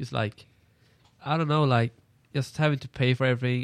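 A man with a Swedish accent at a very fast pace, medium in pitch, in a very clean recording with a silent background and a dry, close sound with no echo. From Sweden. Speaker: international college student. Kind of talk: casual chat.

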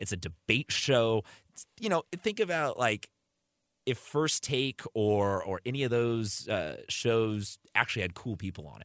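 In a dry, close recording with no echo, a man with an unremarkable speaking voice talks fairly slowly at medium pitch, with lively intonation and big swings in loudness. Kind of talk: casual radio sports chat. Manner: chatty, wry, conversational.

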